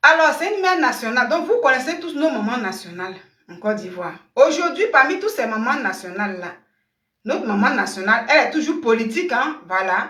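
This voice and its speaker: A woman's raised, projected voice sits high in pitch and swings very widely, moving at a fairly quick pace. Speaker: online commentator. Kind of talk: live stream commentary. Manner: keeping voice down.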